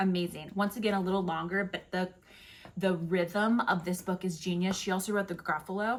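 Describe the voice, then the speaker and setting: Somewhat breathy, a woman talks in a medium-pitched voice. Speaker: book reviewer and librarian. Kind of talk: casual book review. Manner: fast; animated.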